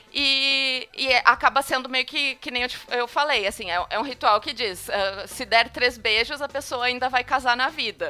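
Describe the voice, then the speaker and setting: A woman's raised, projected voice, high-pitched with a bright, sharp tone, at a moderate pace with hardly any pauses and ordinary pitch variation. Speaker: podcast host. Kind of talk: casual chat.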